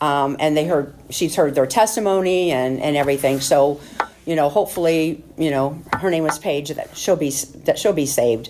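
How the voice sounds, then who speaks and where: Noticeable background noise under a woman's very deep, low voice. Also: ordinary pitch variation. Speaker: surgical nurse giving church mission report. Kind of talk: testimony. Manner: fast; halting, many fillers.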